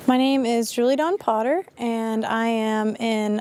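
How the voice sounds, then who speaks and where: A normal speaking voice from a woman with an American accent, fairly high pitch, and fairly even intonation. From rural Appalachia, US. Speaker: student intern. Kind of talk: interview.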